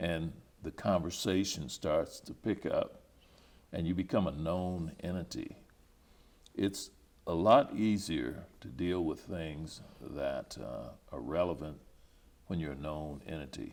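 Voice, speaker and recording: A man with a Midwestern accent, very deep and low in pitch, with vocal fry, ordinary pitch variation, big swings in loudness, a very slow pace and long, frequent pauses. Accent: American Midwestern. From Topeka, Kansas. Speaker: retired educator and high school principal. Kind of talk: oral history interview answer.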